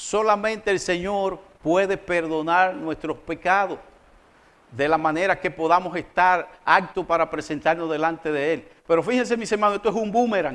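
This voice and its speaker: This man has a high-pitched voice. He talks at a moderate pace with ordinary pitch variation. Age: 60s. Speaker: pastor. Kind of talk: sermon.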